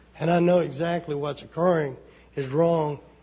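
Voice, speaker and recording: A man with an Alabama accent talks at a moderate pace in a fairly high voice with fairly even intonation. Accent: Southern US (Alabama). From Alabama, US South. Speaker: member of the public giving testimony. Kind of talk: public testimony. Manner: halting.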